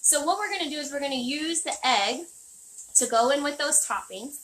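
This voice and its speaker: A woman projects a raised voice at a high pitch. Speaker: chef. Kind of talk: tutorial. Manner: fast.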